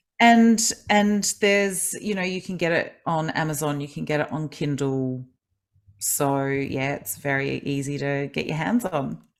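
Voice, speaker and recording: With lively intonation, a woman speaks at a fairly slow pace in a very deep, low pitch. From Australia, grew up in Adelaide. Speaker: kinesiologist and life coach, author. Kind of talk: podcast interview.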